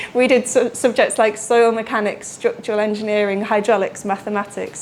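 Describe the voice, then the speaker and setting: In a British accent, a woman talks at a fairly quick pace with a fairly high pitch and a monotone, flat intonation. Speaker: water research engineer. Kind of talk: lecture. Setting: lecture room with audience. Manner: fast.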